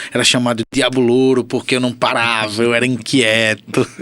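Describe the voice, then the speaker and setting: With monotone, flat intonation, a man speaks at a medium pitch and a fairly slow pace. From Aracaju, Sergipe, Brazil. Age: 30s. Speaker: physiotherapist. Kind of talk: interview.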